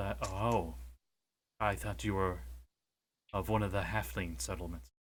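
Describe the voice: A man does a put-on character voice pitched very deep and low. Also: moderate pace.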